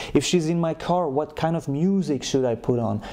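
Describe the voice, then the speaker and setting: Speaking at a moderate pace with a non-native accent, a man uses a fairly high pitch and ordinary pitch variation. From Europe. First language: not English. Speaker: dating coach. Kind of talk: advice monologue.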